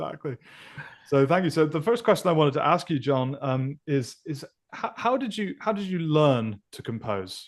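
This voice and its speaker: Against a quiet background, a man with an American accent speaks at a moderate pace, his fairly high pitch swinging very widely. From Scotland, Elgin (Moray). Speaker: podcast host, film composer. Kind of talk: interview.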